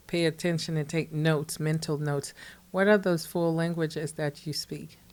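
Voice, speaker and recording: A woman talks at a moderate pace. Her recording is very clean, the background silent. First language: non-English native language. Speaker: podcast host. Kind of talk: casual interview.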